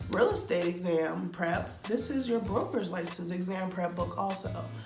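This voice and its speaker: Over music in the background, a woman talks at a fairly slow pace with an upbeat tone. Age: 20s. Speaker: real estate student. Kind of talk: casual talk to camera. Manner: chatty, upbeat.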